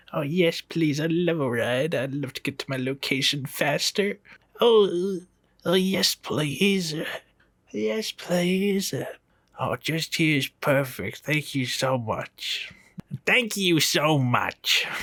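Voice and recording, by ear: A put-on character voice sits at a middle pitch. It moves at a very slow pace.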